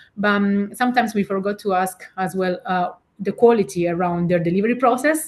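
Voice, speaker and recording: A woman speaks at a fairly quick pace. Her medium pitch shows ordinary variation. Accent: Italian. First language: Italian. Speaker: keynote speaker and digital director. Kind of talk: podcast interview. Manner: halting, many fillers.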